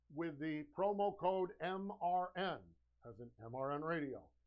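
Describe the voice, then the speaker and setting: A man shouts, loud and high-pitched, with ordinary pitch variation. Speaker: live-stream sales show host. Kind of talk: live sales pitch. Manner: loud, shouting; energetic, animated.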